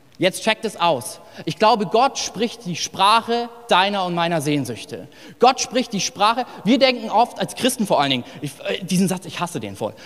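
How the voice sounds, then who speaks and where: Lively intonation colors a man's high-pitched speech. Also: moderate pace. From northern Hesse, Germany. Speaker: pastor. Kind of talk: sermon. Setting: church service with live audience. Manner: casual, animated.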